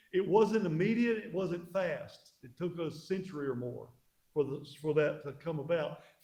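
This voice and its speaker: In a room with audible echo, a man with a high, dark and mellow voice talks at a moderate pace, his loudness swinging widely while his pitch varies in an ordinary way. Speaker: pastor. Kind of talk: church history lecture. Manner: halting.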